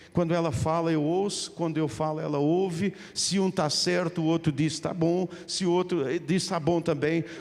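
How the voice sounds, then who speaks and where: A man with a high pitch and fairly even intonation talks at a moderate pace. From Portugal. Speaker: pastor. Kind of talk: sermon. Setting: church.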